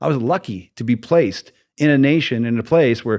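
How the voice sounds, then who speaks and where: This man has a plain, everyday voice at a medium pitch, with lively intonation. The recording is very clean, with a silent background. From United States. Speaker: podcast host and tattoo artist. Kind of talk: interview. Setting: tattoo convention.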